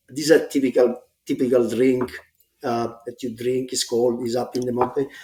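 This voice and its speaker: A man speaks fairly quickly with an Italian accent. His medium-pitched voice has a dark, mellow tone and flat, monotone intonation. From Italy, grew up in Rome. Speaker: smart building executive. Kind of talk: casual podcast interview. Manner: halting, many fillers.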